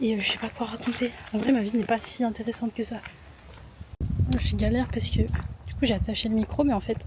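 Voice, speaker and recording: Over noticeable background noise, a woman talks at a fairly quick pace, leaving long, frequent pauses. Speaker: vlogger. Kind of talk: casual vlog talk to camera. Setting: outdoors and gym, handheld camera. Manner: soft-spoken.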